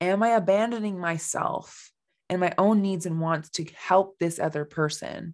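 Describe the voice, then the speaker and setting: In a Canadian accent, a woman speaks at a moderate pace against a quiet background. Her fairly low pitch shows ordinary pitch variation. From Canada. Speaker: life coach, former mental health clinician. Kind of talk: solo podcast monologue.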